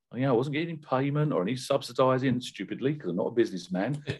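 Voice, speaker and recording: This is a man with a British accent. His pitch sits in the medium range. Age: 50s. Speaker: professional car detailer and brand ambassador. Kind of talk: interview.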